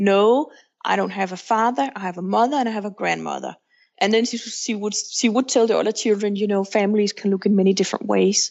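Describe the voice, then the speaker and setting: This woman speaks with a Danish accent. Her pitch is medium. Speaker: author and counselor, single mother by choice. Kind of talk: podcast interview.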